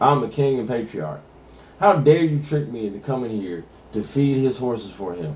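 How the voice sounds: Someone reads in a natural voice.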